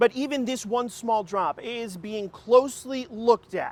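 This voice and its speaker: An extremely high-pitched man at a fairly slow pace, with ordinary pitch variation, big swings in loudness and a dry, close sound with no echo. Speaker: TV news reporter and anchor. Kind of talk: TV news live shot.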